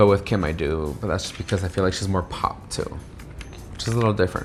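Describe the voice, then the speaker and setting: With music in the background, a man speaks very fast at a very deep, low pitch with ordinary pitch variation. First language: Spanish. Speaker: podcast co-host. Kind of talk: casual chat.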